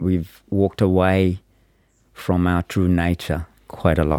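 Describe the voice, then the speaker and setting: A man speaks very slowly at a very deep, low pitch in a dark, mellow tone with fairly even intonation. The recording is very clean with a silent background. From Sri Lanka, moved to New Zealand at 17. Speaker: mindfulness facilitator. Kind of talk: guided mindfulness instruction; casual interview.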